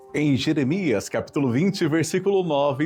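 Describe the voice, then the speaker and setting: A man is speaking. Music plays in the background. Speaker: preacher / devotional speaker. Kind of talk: sermon reflection on the radio. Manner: earnest, zealous.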